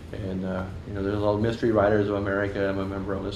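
Talking at a very fast pace, the voice comes through light background noise and audible room echo. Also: man. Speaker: guest. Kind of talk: interview answer. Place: shop.

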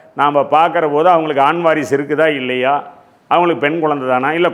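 A man's speech, with ordinary pitch variation, carries audible room echo. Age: 60s. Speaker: astrologer. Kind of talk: lecture.

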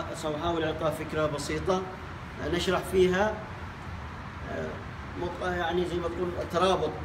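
With a Yemeni accent, a man talks in fairly even intonation. Noticeable background noise is present. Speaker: English teacher. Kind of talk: language lesson. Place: classroom. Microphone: camera far.

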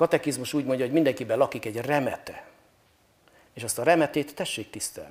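The speech rushes at a very fast pace with big swings in loudness. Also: man, ordinary pitch variation. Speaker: priest guest on talk show. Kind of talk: interview answer. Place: hall. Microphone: lapel.

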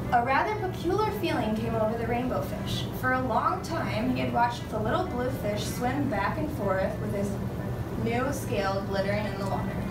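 Moderate pace from a woman amid loud background noise. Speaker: student teacher reading aloud. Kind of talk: storybook read-aloud. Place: classroom. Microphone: camera far.

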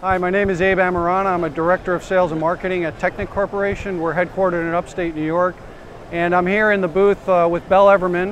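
A man speaks very fast in a high, flat monotone, his voice dry with no echo over light background noise. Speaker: sales. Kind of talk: interview answer. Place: hall.

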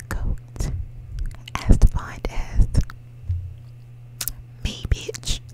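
Whispering at a very slow pace, a woman uses a playful tone. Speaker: ASMR creator. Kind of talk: ASMR whisper video. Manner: whispered, playful. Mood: playful, amused. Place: home room. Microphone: studio mic.

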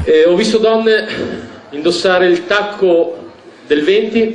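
A man talks with audible room echo and light background noise. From Bologna. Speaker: comedian. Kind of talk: stand-up comedy routine. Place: stage. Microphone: headset.

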